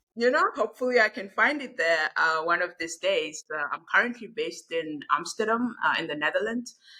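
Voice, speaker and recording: A woman's fairly high, bright, sharp voice at a fairly quick pace, with very wide pitch swings and hardly any pauses. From South Africa. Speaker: finance executive. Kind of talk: podcast interview.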